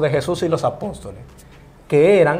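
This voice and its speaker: A man speaks in a normal speaking voice. He keeps a moderate pace with ordinary pitch variation. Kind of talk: interview.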